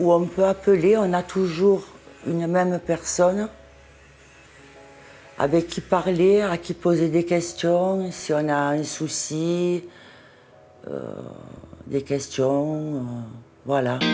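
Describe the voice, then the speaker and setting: Music plays in the background while a woman speaks very slowly with fairly even intonation. She leaves long, frequent pauses. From Marseille, France. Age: 60s. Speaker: cosmetic surgery patient. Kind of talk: interview answer.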